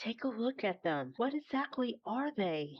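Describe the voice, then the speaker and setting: Shrill and at a fairly high pitch, a woman's put-on character voice makes very wide pitch swings at a moderate pace. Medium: read story. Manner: frightened, shrill.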